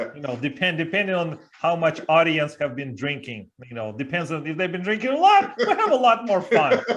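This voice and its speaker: Over noticeable background noise, a man with a slight Russian accent talks at a fairly quick pace with hardly any pauses. His high voice makes very wide pitch swings. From Siberia, Russia. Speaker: leadership coach and speaker. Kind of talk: interview.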